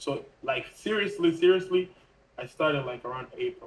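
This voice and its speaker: A man's voice comes through somewhat breathy. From Mozambique, moved to US at about 16. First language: not English; English is his third language. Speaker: TikTok Shop affiliate and YouTube creator. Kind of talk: casual interview chat.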